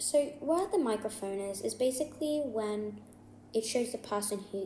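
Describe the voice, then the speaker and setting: At a moderate pace, a woman mumbles at medium pitch with ordinary pitch variation. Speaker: gaming YouTuber. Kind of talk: casual game tutorial to viewers. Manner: mumbling.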